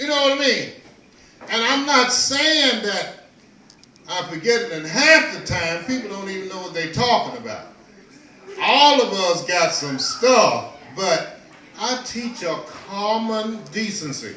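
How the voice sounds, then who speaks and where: In a raised, projected voice, a man speaks fairly slowly at a high pitch with very wide pitch swings and long, frequent pauses, amid noticeable background noise and audible room echo. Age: 60s. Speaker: storyteller and peace teacher. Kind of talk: casual talk to an audience. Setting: kava bar. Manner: halting, with many repetitions.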